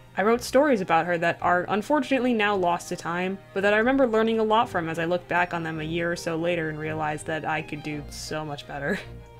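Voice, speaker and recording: A woman speaks at a very fast pace with a fairly low pitch. Her pitch varies in an ordinary way, with music in the background. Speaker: digital artist. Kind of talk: storytime voiceover over speedpaint. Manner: casual, rambling.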